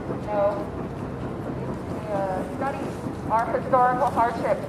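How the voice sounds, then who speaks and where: Against noticeable background noise and audible room echo, a woman talks at a moderate pace in a high voice with ordinary pitch variation. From Western Canada. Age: 20s. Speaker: activist. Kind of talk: rally speech. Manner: halting, many fillers.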